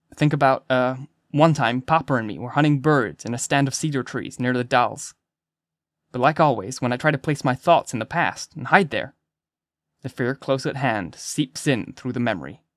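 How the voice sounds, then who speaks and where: The recording is very clean, with a silent background and a dry, close sound with no echo. A man talks in an animated tone at a moderate pace, medium in pitch with ordinary pitch variation. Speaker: audiobook narrator. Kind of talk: dramatic first-person audiobook narration, tense and creepy. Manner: hushed, tense, suspenseful, paranoid; animated, character voices.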